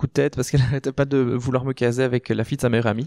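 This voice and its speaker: A man's monotone, flat intonation in a dry, close sound with no echo. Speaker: queer podcast guest. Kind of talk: podcast conversation. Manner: loud, expressive.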